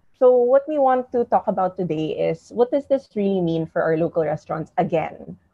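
Recorded against a quiet background, a woman's voice has a dry sound with no echo. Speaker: online show host. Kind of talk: interview host intro. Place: home room. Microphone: earbuds.

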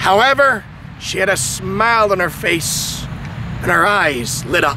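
Against noticeable background noise, a man speaks at a high pitch in a dry sound with no echo. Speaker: preacher. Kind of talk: sermon. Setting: outdoors. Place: open country. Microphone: handheld.

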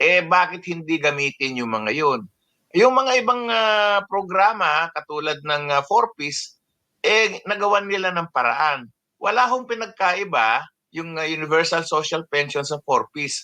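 With a bright, sharp tone and a high pitch, a man speaks at a fairly slow pace with lively intonation. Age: old. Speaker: senior citizens' advocate. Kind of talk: interview. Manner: halting, many fillers.

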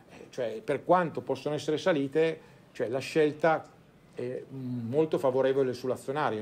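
Over a quiet background, a man speaks in a normal speaking voice at medium pitch with ordinary pitch variation. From Italy, Turin. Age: 50s. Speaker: financial advisor. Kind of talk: conference talk. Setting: stage with audience.

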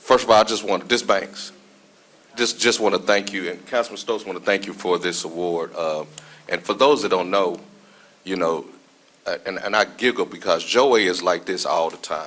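A man speaks with a Mississippi accent. His pitch is fairly low and his pace moderate. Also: ordinary pitch variation. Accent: Mississippi Southern American. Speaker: city councilman. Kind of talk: council meeting remarks. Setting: council chambers.

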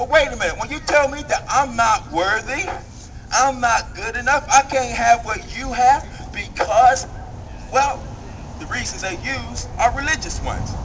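A man with an American accent speaks at an extremely high pitch with lively intonation and big swings in loudness, over light background noise. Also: moderate pace. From US. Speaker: rally speaker. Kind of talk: impassioned protest-rally speech, rhetorical call-and-response. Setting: outdoor rally with crowd. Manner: fiery, escalating rhetorical repetition; folksy, conversational, with humorous jabs. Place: street. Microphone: pa.

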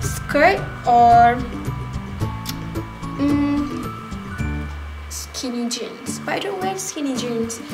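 A woman speaks with clear music playing behind her. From Malaysia. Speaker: fashion youtuber. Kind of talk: casual talk to camera. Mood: cheerful, a little unsure. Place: home room. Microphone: phone near.

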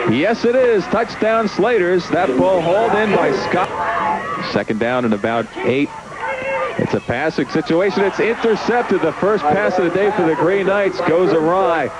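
Very even loudness and lively intonation over noticeable background noise. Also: man, high pitch for a man, moderate pace. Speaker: play-by-play sports announcer. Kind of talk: live football commentary, play-by-play. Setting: broadcast booth at a football game.

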